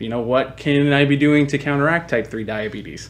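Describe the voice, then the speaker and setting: This man has an unremarkable speaking voice, medium in pitch, with ordinary variation in his intonation. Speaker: marketing agency founder. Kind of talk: webinar presentation. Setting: online webinar.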